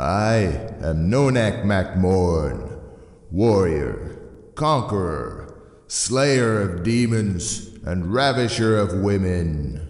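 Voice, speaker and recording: Putting on a character voice, a man speaks very slowly at a fairly low pitch with lively intonation, with a slight echo. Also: very even loudness. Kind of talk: movie trailer. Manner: grandiose, cheesy.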